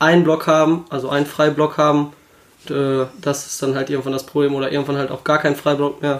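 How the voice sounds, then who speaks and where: A man's fairly high voice at a very fast pace. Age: 20s. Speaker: handball referee. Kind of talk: casual chat.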